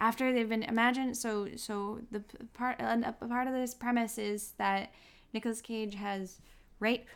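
Moderately paced, a woman speaks in a fairly high voice. Her intonation is monotone and flat. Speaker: podcast co-host. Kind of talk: casual chat, film review.

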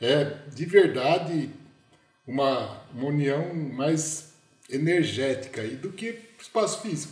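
Over noticeable background noise and audible room echo, a man talks at a very slow pace in a fairly high pitch with ordinary pitch variation. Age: 50s. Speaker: management consultant. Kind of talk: casual chat. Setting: video call.

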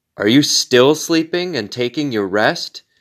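A man with an unremarkable speaking voice talks at a fairly slow pace with lively intonation, on a very clean recording with a silent background. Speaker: pastor leading daily prayer. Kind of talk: fervent prayer. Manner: solemn, earnest, pleading.

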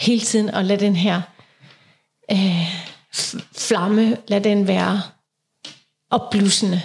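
Speaking at a very slow pace, a woman with a medium pitch sounds somewhat breathy, her intonation fairly even. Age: 40s. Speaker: podcast co-host. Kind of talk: casual chat.

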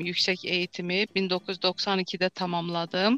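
Speaking with an Azerbaijani accent, a woman has a bright, sharp tone at medium pitch, in a dry, close sound with no echo. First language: Azerbaijani (speaking Turkish). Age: 50s. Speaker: doctor and healer. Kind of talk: interview.

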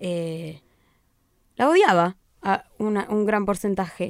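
A woman's medium-pitched voice at a very slow pace, with long, frequent pauses and a dry, close sound with no echo. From Buenos Aires province, Argentina (rural town). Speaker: political scientist and digital communicator. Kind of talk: casual chat. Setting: studio.

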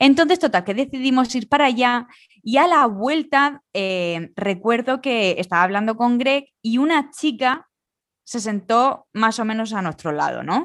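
Over a quiet background, a woman speaks at a fairly slow pace with a high pitch and lively intonation. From Spain. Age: 30s. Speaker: podcast co-host. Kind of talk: casual chat.

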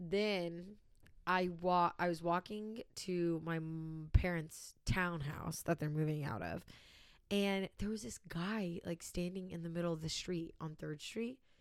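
Speaking at a fairly slow pace, a plain, everyday voice carries ordinary pitch variation. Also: woman, fairly low pitch for a woman. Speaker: podcast host. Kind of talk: casual chat.

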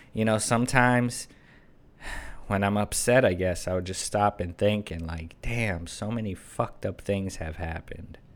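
On a very clean recording with a silent background, a man with a normal speaking voice and fairly low pitch talks at a moderate pace with fairly even intonation. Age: 30s. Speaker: YouTuber and podcast host. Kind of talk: casual solo monologue.

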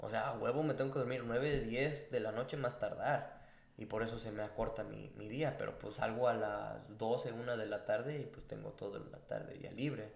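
Noticeable background noise and audible room echo run through the recording. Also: man, moderate pace. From Mexico. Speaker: podcast co-host. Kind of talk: casual chat.

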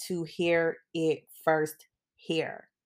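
A woman talks in an animated tone on a very clean recording with a silent background. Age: 40s. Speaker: podcast host. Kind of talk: solo casual monologue.

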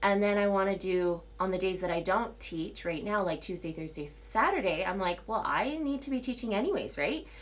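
With vocal fry and a medium pitch, a woman talks at a moderate pace with lively intonation and hardly any pauses, and audible room echo surrounds her voice. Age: 30s. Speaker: solo podcaster, yoga teacher. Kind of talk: casual monologue. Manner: rambling with many fillers.

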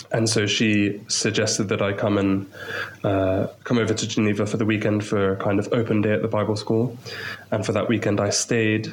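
Fairly low, flat, monotone speech from a man with a southern English accent, at a fairly quick pace, with audible room echo. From England, Maidenhead near London. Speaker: missionary English teacher. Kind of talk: interview.

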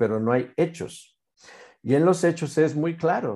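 Against a quiet background, a man with a dark, mellow tone and fairly high pitch talks at a fairly slow pace with lively intonation. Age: 50s. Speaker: naturopathy expert. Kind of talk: interview explanation.

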